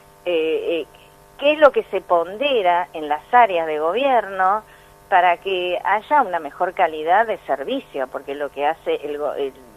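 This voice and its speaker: Speaking at a very slow pace, a woman uses very wide pitch swings around a medium pitch. Her loudness swings widely too. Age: 60s. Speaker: pension and social security expert. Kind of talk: radio interview.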